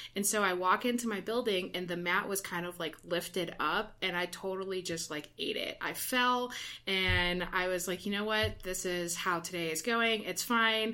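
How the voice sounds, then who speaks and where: Speaking with an American accent at a moderate pace, a woman uses a bright, sharp tone at medium pitch and hardly any pauses. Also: fairly even intonation. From Ohio. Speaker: university residence hall director. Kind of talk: casual chat.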